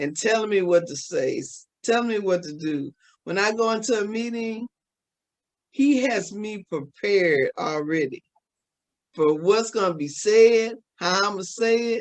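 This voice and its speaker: Her intonation is lively, her pitch medium. The woman speaks at a fairly slow pace. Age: 60s. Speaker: talk show co-host. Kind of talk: inspirational talk. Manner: animated.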